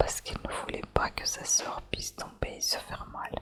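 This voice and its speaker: Someone whispers at a fairly slow pace. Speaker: ASMR channel host. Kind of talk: whispered ASMR story reading. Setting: candlelight and fireplace ambience. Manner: whispered, soft.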